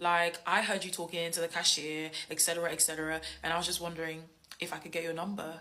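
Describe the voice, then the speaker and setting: Speaking very fast, a woman sounds animated, with an English accent and a fairly low pitch. Noticeable background noise runs behind her. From England. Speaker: social media creator. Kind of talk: storytelling.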